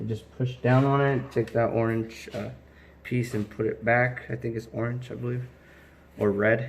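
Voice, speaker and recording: This man has a medium pitch and a somewhat breathy voice, speaking at a fairly slow pace. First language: Spanish. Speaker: car DIY youtuber. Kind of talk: tutorial. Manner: casual, halting.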